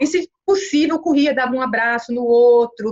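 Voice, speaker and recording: Her intonation lively and her pitch high, a woman speaks at a moderate pace. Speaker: lecturer. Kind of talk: lecture. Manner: halting, with many fillers.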